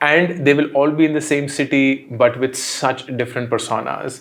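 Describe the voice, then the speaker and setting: A man speaks with an Indian accent at a moderate pace, with ordinary pitch variation. The recording is very clean, with a silent background. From India, Delhi. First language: Hindi. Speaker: entrepreneur and content creator. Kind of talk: interview.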